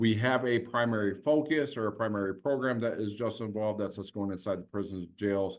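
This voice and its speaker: Using a normal speaking voice, a man talks at a fairly low pitch with fairly even intonation. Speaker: veterans nonprofit founder. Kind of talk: panel presentation. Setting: virtual town hall.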